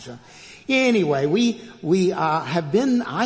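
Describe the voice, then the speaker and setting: Audible room echo surrounds a man with an American accent speaking in a high voice with lively intonation. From Texas, Fort Worth. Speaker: retired pastor, guest preacher. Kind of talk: sermon. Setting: church. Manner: hesitant fillers and repetitions.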